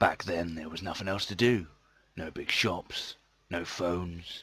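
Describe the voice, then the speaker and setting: In a put-on character voice, a man talks at a moderate pace with a very deep, low pitch. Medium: voice reel.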